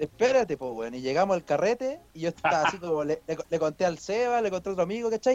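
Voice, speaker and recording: Recorded dry and close with no echo, a man speaks at a very fast pace with hardly any pauses, his high pitch making very wide swings. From Chile, Santiago (Peñalolén). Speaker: podcast co-host. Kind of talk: casual chat.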